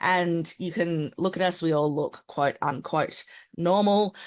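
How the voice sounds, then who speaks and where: Fairly low-pitched woman with a strong Australian accent, speaking at a fairly slow pace against a quiet background. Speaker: accessibility consultant. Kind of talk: webinar presentation.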